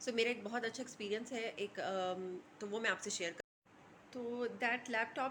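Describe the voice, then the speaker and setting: A woman talks with a fairly high pitch, keeping a moderate pace. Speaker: lifestyle vlogger. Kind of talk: casual vlog talk to camera. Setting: at home in kitchen. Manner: hesitant, many fillers.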